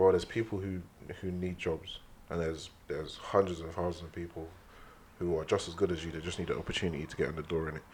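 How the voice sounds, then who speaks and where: Speaking very fast with a London accent, a man with a very deep, low pitch shows big swings in loudness. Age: young. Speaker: musician. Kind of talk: casual chat. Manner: animated.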